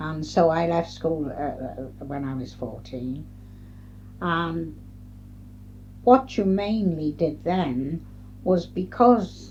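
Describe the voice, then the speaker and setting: Very slow speech with long, frequent pauses, big swings in loudness and noticeable background noise. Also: woman. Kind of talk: oral history interview answer. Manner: hesitant, reflective.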